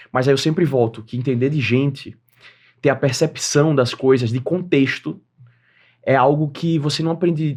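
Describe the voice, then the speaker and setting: A man with a northeastern Brazilian accent, medium in pitch, at a moderate pace with ordinary pitch variation. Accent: northeastern Brazilian, kept. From Northeast Brazil, Aracaju, Sergipe. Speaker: entrepreneur and creator economy expert. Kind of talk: podcast interview.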